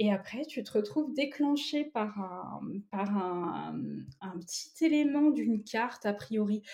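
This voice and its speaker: The voice has a dark, mellow tone, somewhat breathy, moving at a very slow pace with lively intonation. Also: woman, fairly high pitch for a woman. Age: 30s. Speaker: tarot reader. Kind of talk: interview.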